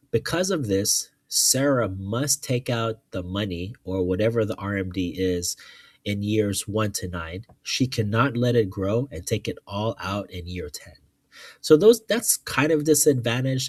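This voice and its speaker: The sound is dry and close, with no echo. A man with a fairly low, somewhat breathy voice talks with lively intonation. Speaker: finance youtuber. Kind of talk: tutorial. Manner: casual, hesitant with fillers.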